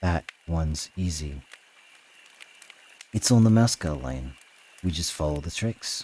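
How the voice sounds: A man puts on a character voice with an extremely low pitch and a slightly mellow tone. He speaks at a slow pace with lively intonation.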